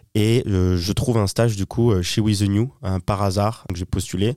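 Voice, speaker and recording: Dark, mellow tone with fairly even intonation, in a very clean recording with a silent background and a dry, close sound with no echo. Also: man. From southern France, Toulon. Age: 20s. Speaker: entrepreneur and purchasing manager. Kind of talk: casual interview.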